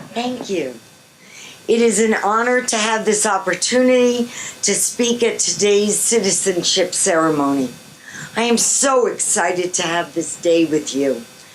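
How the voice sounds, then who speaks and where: Noticeable background noise accompanies a speaker with an American accent who talks at a fairly slow pace with lively intonation. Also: woman, medium pitch for a woman. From New York. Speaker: guest speaker, retired park guide. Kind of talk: ceremony speech.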